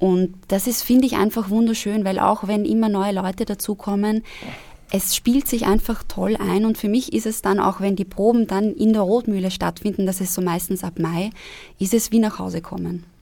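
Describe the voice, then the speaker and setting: A woman's normal speaking voice at medium pitch, with fairly even intonation and a moderate pace. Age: 20s. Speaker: actress. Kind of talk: casual chat. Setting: studio.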